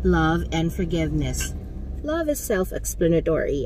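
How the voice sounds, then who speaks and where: A woman talks at a moderate pace. The sound is dry with no echo, with light background noise. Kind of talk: casual vlog chat. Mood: warm, reflective. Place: car. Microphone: phone near.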